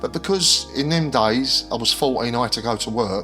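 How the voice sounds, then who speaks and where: Over music in the background, a man with a South London accent speaks at a fairly quick pace. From South East London. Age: 60s. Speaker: former bodyguard, children's author. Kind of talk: interview answer.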